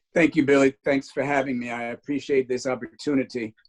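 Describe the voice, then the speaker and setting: With music in the background, a man speaks in a medium pitch and flat, monotone intonation, the sound dry and close with no echo. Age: 60s. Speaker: pastor and civil rights leader. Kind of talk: interview. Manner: hesitant, many fillers.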